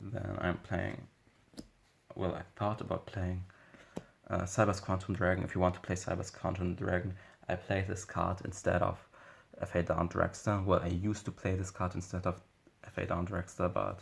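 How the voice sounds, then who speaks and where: A man with a non-native accent speaks at a moderate pace, with a very deep, low pitch and a somewhat breathy quality. His intonation is monotone and flat, and long, frequent pauses break up his speech. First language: not English. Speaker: Yu-Gi-Oh card game YouTuber. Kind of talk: deck profile tutorial. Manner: halting, many fillers and self-corrections.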